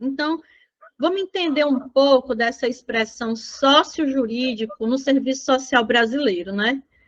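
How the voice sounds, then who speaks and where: Her pitch is high for a woman, with ordinary variation. She speaks at a fairly slow pace. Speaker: social work exam prep teacher. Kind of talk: lecture.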